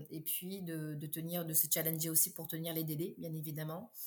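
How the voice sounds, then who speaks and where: Somewhat breathy and fairly low in pitch, a woman's voice carries the speech. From Réunion. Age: 30s. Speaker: entrepreneur. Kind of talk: interview. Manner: hesitant, many fillers.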